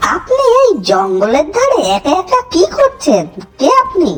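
This cartoonish character voice sits at an extremely high pitch and moves at a moderate pace. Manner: grumbling, bargaining.

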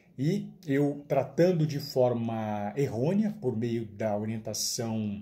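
Somewhat breathy and dark, mellow in tone, a man speaks with a Brazilian accent and lively intonation. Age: 40s. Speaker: nutritionist. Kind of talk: testimony. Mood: earnest, hopeful. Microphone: phone near.

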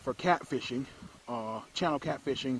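A man talks at a moderate pace, with a dry sound and no echo. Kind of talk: tutorial. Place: garden. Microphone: phone near.

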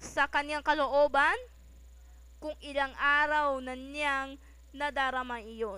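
Raised and projected, a woman's high-pitched voice has a bright, sharp tone and fairly even intonation. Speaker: narrator reading a short story aloud. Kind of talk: dramatic narration, reading a Filipino short story aloud. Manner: expressive, dramatic, steady storytelling pace.

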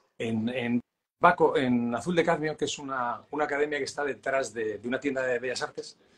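The pace from this man is fairly quick. Intonation remains fairly even. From Spain. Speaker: realist painter and teacher; teacher. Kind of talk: casual interview. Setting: live stream. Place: home room. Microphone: video call.

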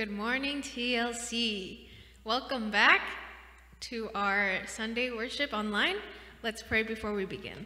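In a room with audible echo, a woman speaks very slowly with fairly even intonation and long, frequent pauses. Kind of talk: spoken prayer. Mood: calm, gentle, reverent. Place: church.

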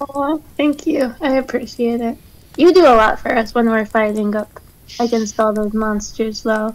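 A woman at a moderate pace, fairly high in pitch with ordinary pitch variation, in a dry sound with no echo. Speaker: tabletop game player. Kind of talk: casual chat. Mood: soft, earnest, reflective. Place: home room. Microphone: headset.

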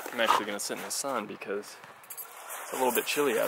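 A man speaks at a very fast pace. The sound is dry with no echo, but background noise is loud. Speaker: family vlogger. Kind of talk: casual vlog. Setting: outdoors. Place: street. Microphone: phone near.

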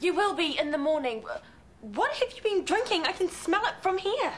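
A woman does a put-on character voice at an extremely high pitch, with big pitch swings. Her tone is fairly bright and her pace moderate.

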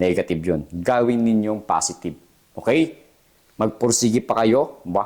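At a moderate pace, a man with a fairly low pitch speaks in lively intonation while his loudness stays very even. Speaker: jail officer and career vlogger. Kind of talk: motivational pep talk to applicants. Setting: solo video address to camera. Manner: earnest, emphatic, encouraging, repeats "okay?" often.

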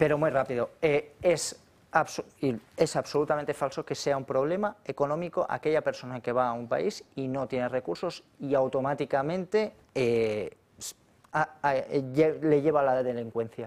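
A man with an unremarkable speaking voice talks at a fairly slow pace. His pitch sits fairly high and shows ordinary variation. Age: 40s. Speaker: economist and politician; politician. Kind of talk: political talk show debate. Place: studio. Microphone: lapel.

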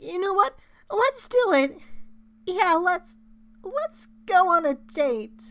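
A put-on character voice at a very slow pace, broken by long, frequent pauses. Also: man, extremely high pitch for a man. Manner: nervous, rambling, stammering.

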